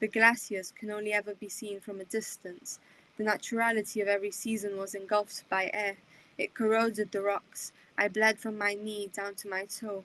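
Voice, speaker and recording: Her tone bright and sharp, a woman speaks in a monotone, flat intonation while her loudness swings widely. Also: medium pitch for a woman, moderate pace. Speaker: poet. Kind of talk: poetry reading. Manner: expressive reading.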